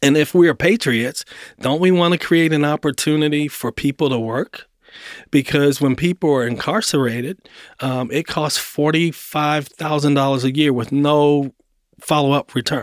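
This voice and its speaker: In a plain, everyday voice, a man with an American accent talks at a moderate pace and fairly high pitch with ordinary pitch variation, recorded very cleanly against a silent background with a dry, close sound and no echo. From Baltimore, Maryland, US. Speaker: finance executive and community investor. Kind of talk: interview conversation.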